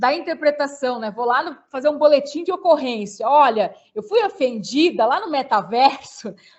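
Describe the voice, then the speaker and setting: Here a woman talks at a moderate pace. Her pitch is high and her intonation lively. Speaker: law lecturer. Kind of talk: webinar talk answering questions.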